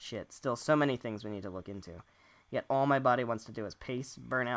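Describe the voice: Someone reads aloud plainly. Their pitch rises and falls in a normal way.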